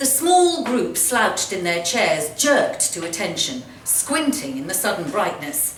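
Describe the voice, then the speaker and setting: Through noticeable background noise, a woman with a fairly high voice speaks at a fairly slow pace with hardly any pauses and very wide pitch swings. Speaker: actress. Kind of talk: live short story reading. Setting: live event in a pub.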